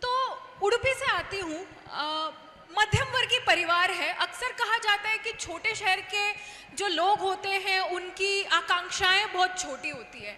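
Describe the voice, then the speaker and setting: A woman with a Kannada accent uses a raised, projected voice. Her pitch is extremely high, with ordinary variation. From India, Udupi, Karnataka. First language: Kannada (speaking Hindi). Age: 20s. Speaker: former student union president. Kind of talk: stage talk. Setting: stage with audience.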